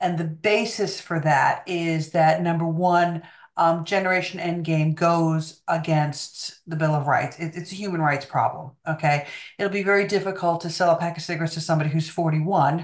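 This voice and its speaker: A woman's fairly low voice, monotone and flat in intonation, at a moderate pace over a quiet background. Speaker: remote guest. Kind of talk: interview answer. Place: home room. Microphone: video call.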